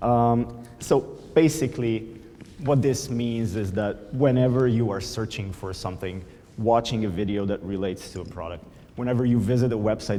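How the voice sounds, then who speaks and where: A man's dark, mellow voice with a Slovenian accent, moderate pace and ordinary pitch variation, heard with audible room echo. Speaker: conference speaker, product manager. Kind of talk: conference talk. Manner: hesitant, many fillers.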